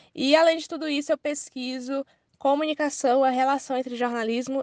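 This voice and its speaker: Against a quiet background, a woman with a high voice talks at a fairly quick pace. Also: dry, close sound with no echo. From Ceará, Brazil. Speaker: journalist and researcher. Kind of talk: interview answers.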